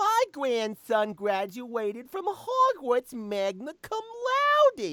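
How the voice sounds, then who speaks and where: In a put-on character voice with fairly high pitch, the speaker goes at a very slow pace yet barely pauses. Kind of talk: kvetching, complaining about family.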